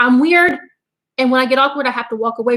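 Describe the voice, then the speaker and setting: A woman speaks loudly. Her pitch is high. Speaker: homesteading channel co-host. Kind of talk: casual live stream chat.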